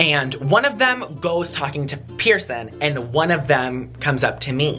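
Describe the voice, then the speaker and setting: With music in the background, a man with an American accent speaks at a fairly slow pace and ordinary pitch variation. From Wisconsin. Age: 20s. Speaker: YouTuber. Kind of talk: casual story time to camera.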